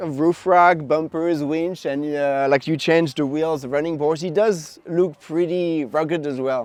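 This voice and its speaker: At a moderate pace, a man speaks at a fairly high pitch with ordinary pitch variation. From France. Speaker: van conversion builder. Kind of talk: casual interview and van tour.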